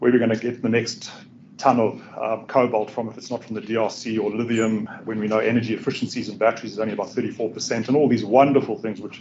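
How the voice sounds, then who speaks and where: Over light background noise, a man talks at a fairly quick pace with fairly even intonation. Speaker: presenter. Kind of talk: lecture. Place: classroom.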